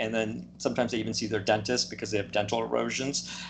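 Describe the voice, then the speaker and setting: Vocal fry runs through this man's fairly low voice, with light background noise behind him. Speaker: guest. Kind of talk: interview answer. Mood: calm, explanatory. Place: home room. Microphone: video call.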